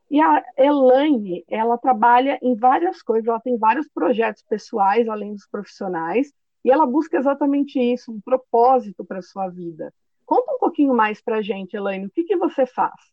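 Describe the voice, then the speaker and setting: A woman's high voice with lively intonation and big swings in loudness. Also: moderate pace. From São Paulo, Brazil. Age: 30s. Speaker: podcast host and career coach. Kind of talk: casual interview.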